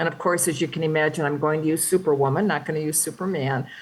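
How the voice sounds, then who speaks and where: A woman talks very fast in a very deep, low pitch with ordinary pitch variation. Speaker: physician leadership speaker. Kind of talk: lecture.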